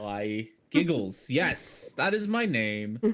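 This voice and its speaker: Booming and very slow, a man does a put-on character voice at a medium pitch with lively intonation. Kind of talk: friendly, welcoming.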